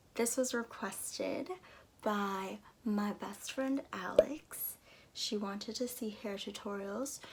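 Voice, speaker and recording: A woman's fairly high pitch shifts with ordinary variation as noticeable background noise carries on. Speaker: singer and video creator. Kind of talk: tutorial. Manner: casual, chatty.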